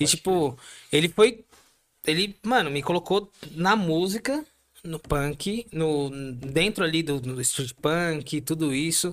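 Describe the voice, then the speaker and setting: A man with a fairly high pitch is speaking. He talks at a very slow pace. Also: ordinary pitch variation. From Brazil, São Paulo (Ipiranga). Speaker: punk band musician. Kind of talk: casual chat.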